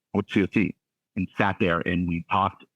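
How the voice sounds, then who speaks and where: A man speaks with a very deep, low pitch in a Southern California accent. His pace is fairly quick. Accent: General American (Southern California). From US West Coast, Santa Clarita, California. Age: 30s. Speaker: sports broadcaster. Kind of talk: podcast interview. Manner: conversational, many fillers and restarts.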